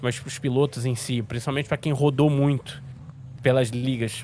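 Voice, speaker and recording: Fairly even intonation from a man, pitched in the medium range. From Rio de Janeiro, Brazil. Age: 30s. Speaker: sim racing commentator. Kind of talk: casual interview. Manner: halting.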